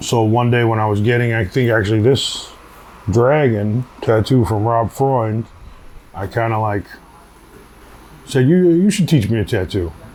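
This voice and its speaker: With a New York accent, a man talks at a moderate pace in a medium pitch with ordinary variation, pausing long and often over noticeable background noise. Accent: New York City. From Queens, New York. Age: 40s. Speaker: tattoo artist. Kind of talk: documentary interview, casual storytelling. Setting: outdoors on a city street. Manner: casual, filler-heavy.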